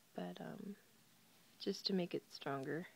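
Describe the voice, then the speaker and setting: A woman is speaking. She is soft-spoken. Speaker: crochet tutorial video maker. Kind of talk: tutorial. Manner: hesitant, many fillers.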